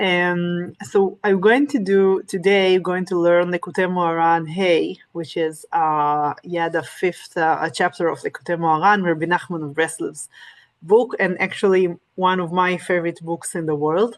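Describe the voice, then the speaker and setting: In a non-native accent, a woman with fairly low pitch speaks at a fairly slow pace with fairly even intonation. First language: Hebrew and Russian. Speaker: Torah teacher. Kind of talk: lecture. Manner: halting, many fillers.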